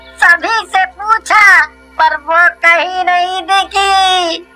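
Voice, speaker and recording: A cartoonish character voice moves at a very slow pace with music playing in the background. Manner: distressed, wailing.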